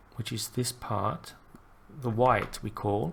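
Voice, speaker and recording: The voice is quiet and moves at a very slow pace. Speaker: animation tutorial creator. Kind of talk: tutorial. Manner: quiet, unrehearsed; halting, thinking aloud.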